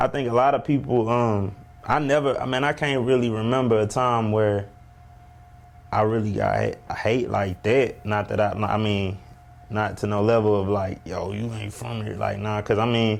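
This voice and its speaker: Over noticeable background noise, a man with an American accent speaks at a moderate pace in a fairly low, relaxed voice with ordinary pitch variation. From New Orleans and Ferguson, Missouri. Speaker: rapper. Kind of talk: casual interview.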